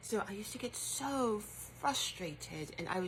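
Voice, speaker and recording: A woman is speaking. She has a British accent. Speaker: writer. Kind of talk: casual talk to camera.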